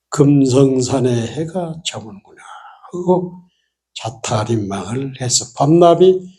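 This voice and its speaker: Recorded with audible room echo, a man speaks in a dark, mellow tone with lively intonation. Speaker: Buddhist monk giving a dharma talk. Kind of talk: sermon. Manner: casual storytelling with frequent fillers.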